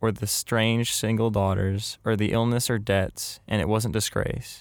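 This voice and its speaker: Heard on a very clean recording with a silent background, a plain, everyday voice speaks at a moderate pace with fairly even intonation. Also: man. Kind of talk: literary short story reading. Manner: intimate, first-person storytelling.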